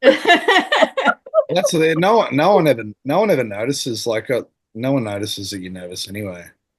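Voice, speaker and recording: A man speaks in an Australian accent against a quiet background. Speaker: former teacher. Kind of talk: casual chat. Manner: mumbling.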